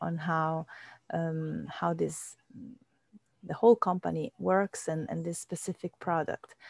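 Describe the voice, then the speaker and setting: A woman speaks slowly-ish, at a fairly slow pace, in an Italian accent. The recording is very clean, with a silent background. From Italy. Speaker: wellness show host. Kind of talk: casual interview chat.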